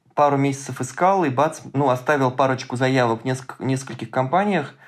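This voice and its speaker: A man with a normal speaking voice, medium pitch and fairly even intonation, at a moderate pace. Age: 30s. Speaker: data science student, hackathon participant. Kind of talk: casual interview chat.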